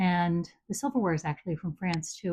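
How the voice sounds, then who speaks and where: A woman's somewhat breathy, fairly low voice with an American accent. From US. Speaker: home entertaining enthusiast. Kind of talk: casual chat.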